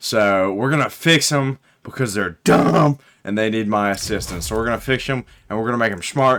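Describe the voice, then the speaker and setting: A man talks at a medium pitch with a Southern US accent. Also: ordinary pitch variation. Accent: Southern US drawl. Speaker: gaming YouTuber. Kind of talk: casual gameplay commentary. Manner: casual, joking.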